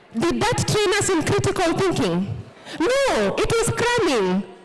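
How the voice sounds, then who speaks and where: Someone speaks at a fairly slow pace in an animated tone, with noticeable background noise. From Kenya. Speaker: speaker. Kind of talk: motivational talk.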